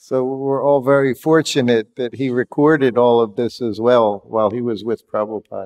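In a plain, everyday voice, a man talks at a moderate pace and medium pitch with fairly even intonation, the sound dry and close with no echo. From USA. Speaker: monk and former personal servant of a guru. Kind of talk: reminiscence talk. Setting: hall with audience.

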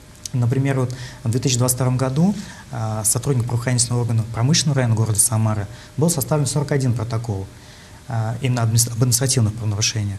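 A man talks at a very fast pace with fairly even intonation. He takes long, frequent pauses, and there is light background noise. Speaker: deputy prosecutor. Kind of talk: TV studio interview. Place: studio. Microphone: lapel.

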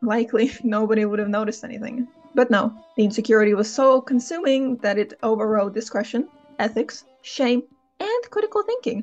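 Music plays in the background as a woman talks at a fairly quick pace in a high pitch, with fairly even intonation. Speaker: author and book commentary creator. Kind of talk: opinion commentary to camera.

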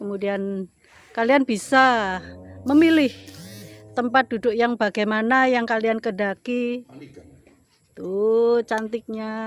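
Against music in the background, a woman speaks at a very slow pace with long, frequent pauses, in a dry sound with no echo. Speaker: vlogger. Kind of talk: casual vlog chat. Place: waterside. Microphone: phone near.

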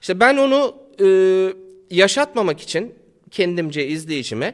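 At a fairly slow pace, a man speaks at a high pitch with very wide pitch swings. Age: 40s. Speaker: YouTuber. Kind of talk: casual chat.

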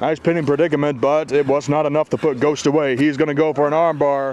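A man's fairly high voice comes through with noticeable noise in the background. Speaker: wrestling commentator. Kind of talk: live wrestling commentary, backyard match call. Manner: ring announcer style intro.

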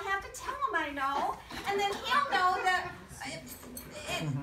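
A woman's raised, projected voice over noticeable background noise. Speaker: amateur actor in a skit. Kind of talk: theatrical monologue, one-sided phone call. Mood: anxious, flustered. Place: garden. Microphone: camera far.

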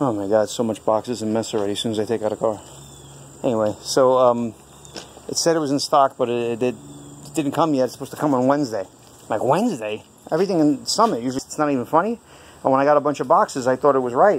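A man talks at a very fast pace. Light background noise sits behind him. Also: ordinary pitch variation. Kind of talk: casual vlog chat. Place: garage. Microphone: phone near.

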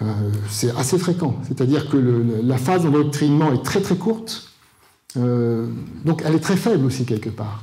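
A man's somewhat breathy, dark, mellow voice at a moderate pace, with very wide pitch swings. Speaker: conference speaker. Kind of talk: lecture. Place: hall. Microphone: handheld.

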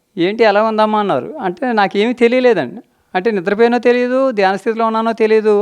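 Fairly even intonation marks a man's high-pitched voice. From Anakapalli, Visakhapatnam district, Andhra Pradesh. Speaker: meditation practitioner. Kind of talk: testimony. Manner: formal, polite.

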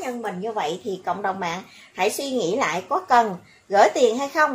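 Somewhat breathy and fairly high, a woman's voice moves at a moderate pace. Her intonation is lively. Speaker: YouTube commentary vlogger. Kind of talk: monologue commentary video. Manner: animated.

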